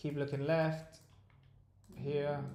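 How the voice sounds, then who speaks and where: Audible room echo surrounds a man with a fairly high pitch and a dark, mellow tone, speaking at a fairly slow pace. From South Africa, raised in Dubai. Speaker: stock trading streamer. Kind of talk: live trading stream.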